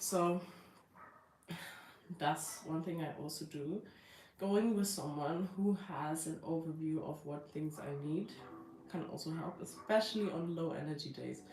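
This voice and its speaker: A woman with a very deep, low pitch at a fairly slow pace, with ordinary pitch variation, long, frequent pauses, audible room echo and music in the background. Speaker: lifestyle vlogger. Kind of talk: casual live stream talk. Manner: halting, many fillers.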